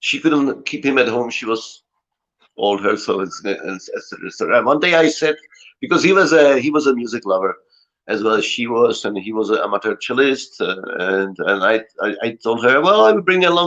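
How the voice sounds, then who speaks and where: The speaker has a Czech accent and lively intonation. Delivery comes at a fairly quick pace. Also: man, medium pitch for a man. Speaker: cellist. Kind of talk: casual chat.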